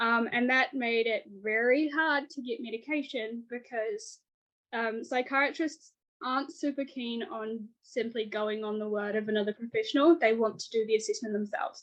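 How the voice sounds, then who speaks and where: Here a woman speaks with a New Zealand accent. Her pitch is high and varies in an ordinary way. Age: 20s. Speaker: author and illustrator. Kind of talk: podcast interview. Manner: fast.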